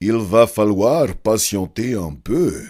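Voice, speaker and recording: Putting on a character voice, a man speaks at a very slow pace in a medium pitch. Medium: read story. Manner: gentle and kind.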